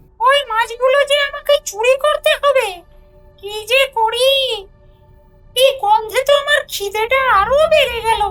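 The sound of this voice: In a put-on character voice, a female-sounding speaker goes at a fairly slow pace with an extremely high pitch for a woman, faint music playing in the background.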